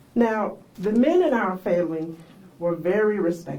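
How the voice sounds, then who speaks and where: A medium-pitched woman with an American accent uses ordinary pitch variation, heard with audible room echo and noticeable background noise. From South Carolina Lowcountry, Charleston and Sea Islands. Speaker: pastor. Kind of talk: storytelling talk to an audience. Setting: library event with audience. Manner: conversational.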